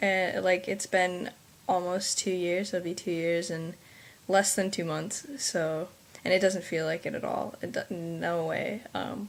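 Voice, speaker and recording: Using fairly even intonation, a woman of medium pitch speaks at a fairly slow pace. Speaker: vlogger. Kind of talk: casual vlog monologue. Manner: halting, many fillers.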